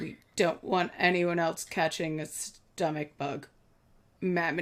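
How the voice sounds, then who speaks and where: A female-sounding voice is put on as a character. It is raspy and sits at a middle pitch. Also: fairly slow pace. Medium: actual play. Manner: flustered, officious.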